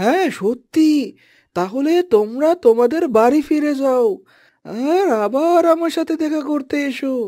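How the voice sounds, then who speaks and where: This is a cartoonish character voice. Its intonation is lively. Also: woman, high pitch for a woman, fairly slow pace. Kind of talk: cartoon voice acting. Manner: explanatory, gentle.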